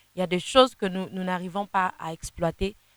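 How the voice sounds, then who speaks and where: Her fairly low voice comes through dry and close with no echo as the woman keeps a moderate pace. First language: Kinande (speaking French). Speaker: gospel singer. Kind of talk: interview. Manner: halting, many repetitions.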